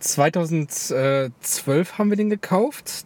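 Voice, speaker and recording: Noticeable background noise runs under this man's speech. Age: 20s. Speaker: car enthusiast. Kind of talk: casual chat.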